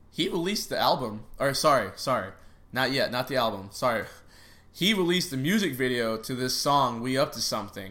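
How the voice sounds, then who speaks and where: Over audible room echo, a man of medium pitch speaks at a fairly quick pace in an animated, bright, sharp tone with very wide pitch swings. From Chicago area, raised in Texas. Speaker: podcast host. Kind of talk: casual sports chat.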